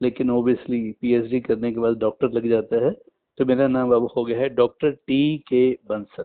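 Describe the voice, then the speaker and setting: Medium in pitch, a man talks with an unremarkable speaking voice. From Punjab, India (Patiala). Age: 60s. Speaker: retired physics teacher. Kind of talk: interview.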